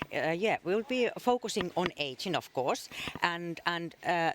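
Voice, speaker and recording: Noticeable background noise beneath a fairly slow delivery. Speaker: government health official. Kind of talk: interview. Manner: hesitant, many fillers.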